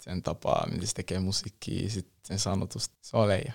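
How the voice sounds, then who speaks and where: The voice is a normal speaking voice with fairly even intonation at a moderate pace. The sound is dry and close, with no echo. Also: man. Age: young. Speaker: rapper. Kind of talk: casual interview. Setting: studio.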